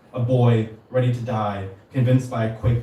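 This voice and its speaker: A man with an American accent talks at a fairly quick pace amid audible room echo. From San Diego, California. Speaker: poet. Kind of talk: poetry reading. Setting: stage with audience.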